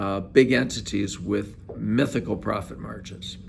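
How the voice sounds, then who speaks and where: Vocal fry and lively intonation in an American accent, with audible room echo. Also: man. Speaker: accounting firm presenter. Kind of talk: solo video monologue. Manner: hesitant with frequent uh fillers.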